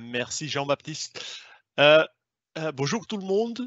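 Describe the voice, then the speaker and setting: A man with a non-native accent. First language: not French (speaking French). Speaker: sales manager. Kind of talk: webinar presentation. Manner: hesitant, many fillers.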